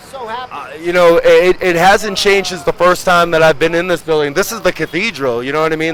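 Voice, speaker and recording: With noticeable background noise behind him, a man talks at a moderate pace in a high pitch with ordinary pitch variation. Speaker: pro wrestler. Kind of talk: interview. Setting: outdoors. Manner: halting, repeats words.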